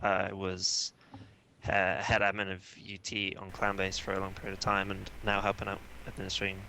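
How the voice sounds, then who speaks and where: In a British accent, the speaker keeps a moderate pace. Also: man. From Britain. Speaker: gaming community admin. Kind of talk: casual panel chat.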